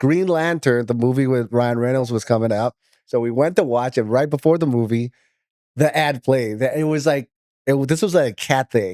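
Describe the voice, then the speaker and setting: In an American accent, a man at medium pitch speaks with a dark, mellow tone, ordinary pitch variation and a moderate pace. The sound is dry and close with no echo, on a very clean recording with a silent background. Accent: American-sounding, self-taught from movies. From Myanmar, Yangon. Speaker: voiceover artist. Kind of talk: casual interview.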